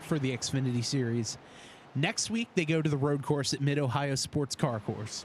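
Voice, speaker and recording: Somewhat breathy, a man with a New Jersey accent talks at a moderate pace with a medium pitch and ordinary pitch variation. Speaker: sim racing commentator. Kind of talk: live commentary. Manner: casual, filler-heavy.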